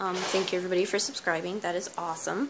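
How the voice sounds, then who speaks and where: Soft-spoken, a woman talks with fairly even intonation. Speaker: homeschooling mom and vlogger. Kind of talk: casual tutorial.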